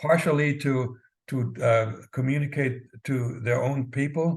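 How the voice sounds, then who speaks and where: Somewhat breathy, a man talks at a medium pitch with fairly even intonation. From East Germany. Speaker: former spy, author. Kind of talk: interview answer.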